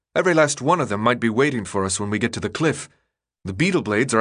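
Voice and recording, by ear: Reading aloud in a natural voice, with lively intonation, over a quiet background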